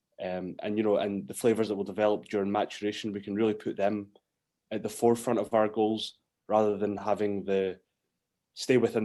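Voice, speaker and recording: A man with a Scottish accent and a dark, mellow tone speaks fairly quickly at a fairly low pitch with fairly even intonation, on a very clean recording with a silent background. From Scotland. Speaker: whisky distiller. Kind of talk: interview. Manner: hesitant, many fillers.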